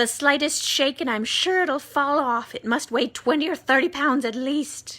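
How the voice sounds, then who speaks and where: The speaker uses a put-on character voice. Delivery is at a moderate pace with ordinary pitch variation. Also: woman, high pitch for a woman. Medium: read story. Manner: sharp, bossy.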